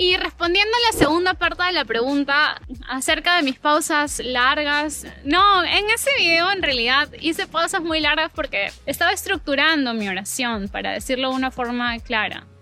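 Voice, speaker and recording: Against music in the background, a woman speaks in a raised, projected, high-pitched voice with lively intonation and hardly any pauses. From Peru, Lima. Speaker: language teacher, YouTuber. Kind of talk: casual chat. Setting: outdoors in a park, walking. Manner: natural native speed.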